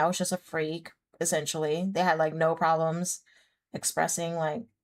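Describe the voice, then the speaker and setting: With an American accent, a woman speaks at a fairly quick pace in a very clean recording with a silent background. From United States. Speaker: streamer. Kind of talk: casual chat. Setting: live stream.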